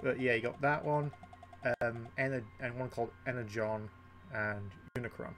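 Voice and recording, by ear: A croaky man's voice, medium in pitch, fairly bright in tone, with fairly even intonation.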